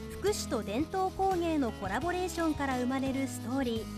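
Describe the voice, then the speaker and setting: A woman keeps a moderate pace as music plays behind her. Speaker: TV announcer narrator. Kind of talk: TV documentary narration.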